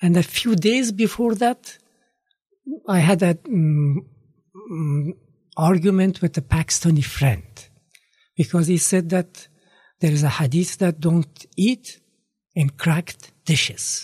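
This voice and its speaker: Speaking at a very slow pace with long, frequent pauses, a man with an Afghan accent uses a high pitch, ordinary pitch variation and very even loudness. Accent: Afghan (Dari-speaking) English. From Afghanistan, Kabul. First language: Dari (Farsi). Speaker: retired former government minister and radio producer. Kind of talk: interview, life story. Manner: halting, many fillers.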